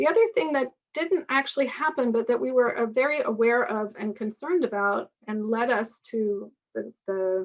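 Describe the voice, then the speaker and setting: With an ordinary speaking voice, a woman talks at a moderate pace and fairly high pitch using lively intonation. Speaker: author and lecturer on partnership structures. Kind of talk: webinar lecture with Q&A.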